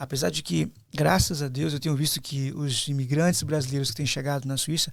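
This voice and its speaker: Somewhat breathy, this voice keeps to a moderate pace. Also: man. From Brazil. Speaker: pastor. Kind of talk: interview conversation. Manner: hesitant, many fillers.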